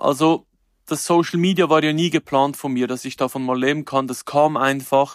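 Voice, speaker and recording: A man with an unremarkable speaking voice talks at a moderate pace and a fairly high pitch, with ordinary pitch variation. The sound is dry and close, with no echo. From Switzerland, canton Glarus. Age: 30s. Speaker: chef and influencer. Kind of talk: interview.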